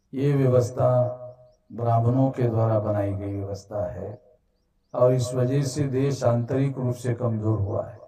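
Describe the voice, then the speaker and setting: Music in the background behind a man's medium-pitched voice with big swings in loudness. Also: fairly even intonation. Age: 60s. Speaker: activist organization leader. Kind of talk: public speech. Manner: formal.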